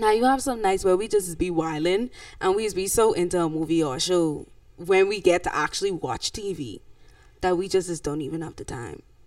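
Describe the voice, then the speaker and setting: A woman with an unremarkable speaking voice talks at a fairly quick pace and a medium pitch. Her pitch varies in an ordinary way, and the recording is very clean with a silent background. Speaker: podcast co-host, church host. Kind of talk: casual chat.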